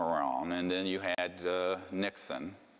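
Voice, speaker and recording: With music playing and audible room echo, a man speaks very slowly in a very deep, low pitch. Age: 60s. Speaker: lecturer on UFO secrecy. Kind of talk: lecture. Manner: casual, conversational with fillers.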